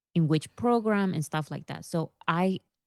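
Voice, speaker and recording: Dark and mellow in tone, the voice comes at a fairly slow pace with a strong non-native accent, recorded dry and close with no echo over a quiet background. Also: woman. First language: not English. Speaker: YouTuber. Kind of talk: interview. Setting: video call.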